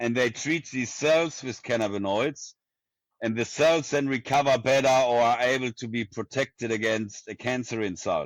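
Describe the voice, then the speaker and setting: Over a silent background in a very clean recording, a man with a strong German accent speaks at a medium pitch and moderate pace with ordinary pitch variation. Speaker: neuroscience professor. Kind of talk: interview.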